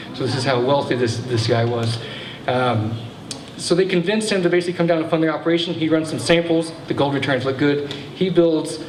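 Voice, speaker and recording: A man's very fast speech, with ordinary pitch variation, carries noticeable background noise and audible room echo. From Texas. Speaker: local historian, speaker. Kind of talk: public history talk.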